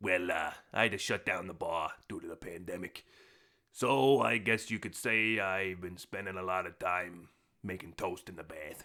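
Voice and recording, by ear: In a put-on character voice, a man uses a very deep, low pitch. His pace is moderate.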